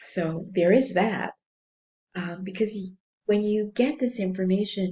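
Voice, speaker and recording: At a fairly slow pace, a woman speaks at a medium pitch with a somewhat breathy, dark, mellow tone and ordinary pitch variation. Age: 60s. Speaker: spiritual counselor and energy healer. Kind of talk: spiritual teaching monologue. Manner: hesitant with fillers.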